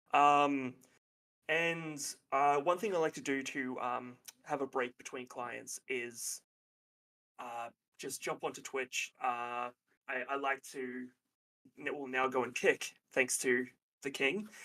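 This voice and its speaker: A man with an Australian accent, bright and sharp in tone, at a very slow pace with long, frequent pauses and fairly even intonation. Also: medium pitch for a man. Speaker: counselor and therapist. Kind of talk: casual chat. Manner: halting.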